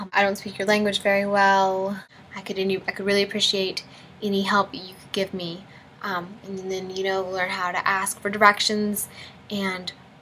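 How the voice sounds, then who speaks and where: A soft-spoken woman talks at a moderate pace in a medium pitch. Her intonation is flat and monotone. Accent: American. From United States. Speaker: college student. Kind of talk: casual talk to camera.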